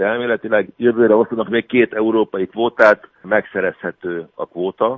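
This man uses a normal speaking voice, keeping his intonation fairly even. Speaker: canoe coach. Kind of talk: radio interview.

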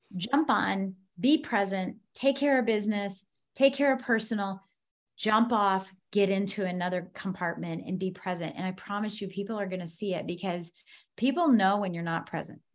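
A woman with an American accent, medium pitch and ordinary pitch variation, against a quiet background. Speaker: business consultant and author. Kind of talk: casual interview chat. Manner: fast talker.

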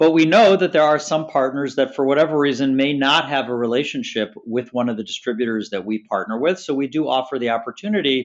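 With an American accent, a man talks at a fairly quick pace in an unremarkable speaking voice with lively intonation. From Chicago, US Midwest. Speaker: tech sales executive. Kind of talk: interview.

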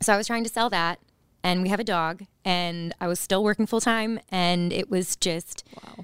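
With an American accent and lively intonation, a woman talks at a moderate pace in a normal speaking voice, on a very clean recording with a silent background and a dry, close sound with no echo. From northern Virginia / DC area. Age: 30s. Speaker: former NFL cheerleader, coach's wife. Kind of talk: casual interview chat.

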